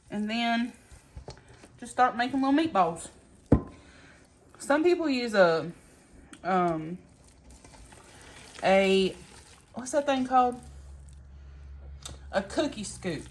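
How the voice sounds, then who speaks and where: A woman's fairly high voice with a Southern US accent, very slow pace, very wide pitch swings, big swings in loudness and long, frequent pauses. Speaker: home cooking vlogger. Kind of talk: cooking tutorial. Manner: casual, chatty.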